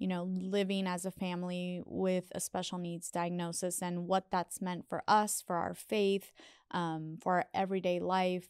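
At a fairly slow pace, a woman speaks in a flat monotone, the sound dry with no echo over a quiet background. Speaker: podcast guest. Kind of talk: interview answer. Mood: warm, smiling, occasional laughs. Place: studio. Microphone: studio mic.

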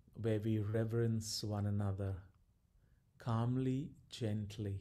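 A man's dark, mellow voice at a very slow pace, with monotone, flat intonation. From India, Goa region. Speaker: Jesuit priest and researcher; Jesuit priest. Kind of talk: guided meditation; guest talk on mental health. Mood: calm, gentle. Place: home room.

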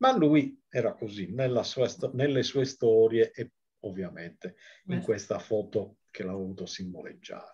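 A man at a fairly slow pace with big swings in loudness, over a quiet background. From Sardinia, Sassari; Sardinia. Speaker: nature photographer and author. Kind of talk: book presentation talk. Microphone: video call.

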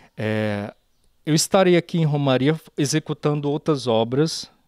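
A moderate pace and lively intonation over a quiet background. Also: man, dry sound with no echo. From Brazil, Minas Gerais (Pirapora); Minas Gerais, Brazil. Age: 30s. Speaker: sculptor. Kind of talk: interview; interview answer. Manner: halting. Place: garden. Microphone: handheld.

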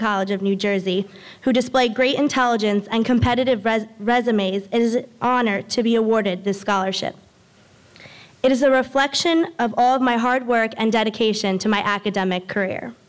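A woman speaks at a fairly quick pace with very even loudness and ordinary pitch variation against a quiet background. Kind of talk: formal speech. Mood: grateful, earnest. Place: hall. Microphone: podium.

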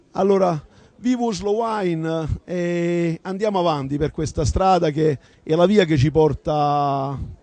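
At a very slow pace, a man talks at a high pitch with ordinary pitch variation and a dark, mellow tone, the sound dry with no echo. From Basilicata (Rapolla); Basilicata, Italy. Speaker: wine producer, architect; wine producer or journalist at an event. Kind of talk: interview. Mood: cheerful, toasting. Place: hall. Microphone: handheld.

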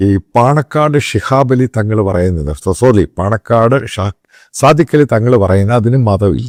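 A man with a normal speaking voice, medium pitch and lively intonation, on a very clean recording with a silent background and a dry, close sound with no echo. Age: 50s. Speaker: political commentator. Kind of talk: opinion monologue.

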